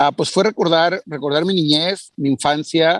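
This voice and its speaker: At a moderate pace, an unremarkable speaking voice with ordinary pitch variation comes through in a dry, close sound with no echo. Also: man. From Mexico. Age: 40s. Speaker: entrepreneur. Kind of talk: interview.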